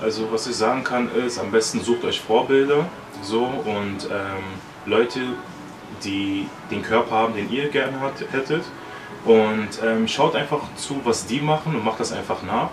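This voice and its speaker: At a fairly slow pace, a man talks at a medium pitch with long, frequent pauses and ordinary pitch variation. Noticeable background noise and audible room echo fill the recording. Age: 20s. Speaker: bodybuilder and mental coach. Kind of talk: casual interview.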